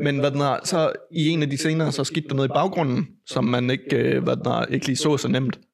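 A man talks at a moderate pace with hardly any pauses, in an unremarkable speaking voice. His pitch is fairly high, his loudness very even, and his intonation fairly even. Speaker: podcast host. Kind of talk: casual chat. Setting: home. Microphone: echo from mic fault in first half.

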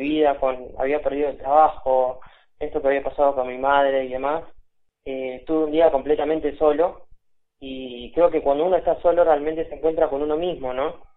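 The man's pitch is fairly high, his intonation monotone and flat. He keeps a moderate pace. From Buenos Aires, Argentina. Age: 20s. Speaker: video game developer. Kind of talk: interview. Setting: phone call.

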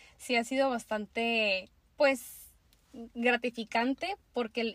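This woman has a normal speaking voice at fairly high pitch, with ordinary pitch variation and a dry, close sound with no echo. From Mexico, Tijuana, Baja California. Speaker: makeup artist. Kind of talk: casual interview chat.

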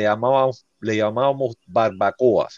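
A man is speaking. The background is quiet. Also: dry, close sound with no echo. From Cuba, Havana (Centro Habana). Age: 40s. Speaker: teacher, Cuban immigrant. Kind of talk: interview, life story. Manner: halting, many restarts and fillers.

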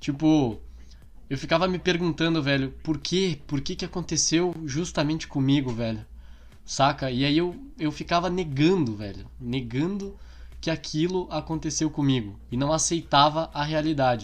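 This is a man with a normal speaking voice. He talks at a moderate pace. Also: fairly high pitch for a man, ordinary pitch variation. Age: 20s. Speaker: podcast co-host. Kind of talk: casual chat.

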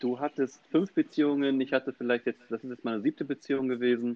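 This is a man at medium pitch. His intonation stays fairly even. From Hamburg, Germany. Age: 30s. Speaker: podcast co-host. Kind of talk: casual chat. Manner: halting, many repetitions.

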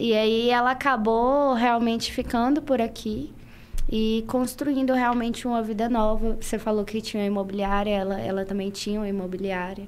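Her intonation is fairly even. The woman keeps a moderate pace. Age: young. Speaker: fashion influencer. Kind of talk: casual interview chat.

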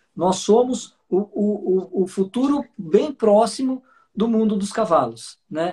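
A high-pitched man talks very slowly with ordinary pitch variation and a dark, mellow tone. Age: 40s. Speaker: horse trainer. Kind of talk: live video chat.

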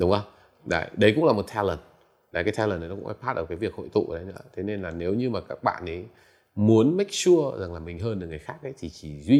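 Very fast speech with lively intonation, big swings in loudness and long, frequent pauses in a very clean recording with a silent background. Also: man. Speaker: entrepreneur and tech investor. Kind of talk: interview. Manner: halting, many fillers.

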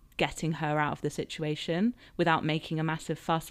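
Very deep and low in pitch, a woman with a southern English accent speaks at a moderate pace in a very clean recording with a silent background. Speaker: author and podcaster. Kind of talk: casual interview chat.

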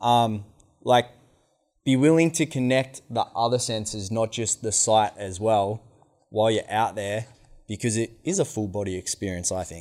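A man speaks with an Australian accent at a medium pitch. The recording is very clean, with a silent background. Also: ordinary pitch variation, moderate pace. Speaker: outdoor educator. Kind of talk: workshop instruction. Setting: meeting hall with microphone.

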